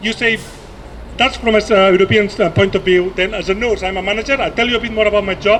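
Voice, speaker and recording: This man speaks with a non-native accent at a high pitch, his intonation fairly even, over noticeable background noise. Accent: foreign. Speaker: nurse and activist. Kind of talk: rally speech. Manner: impassioned; halting, repeats words.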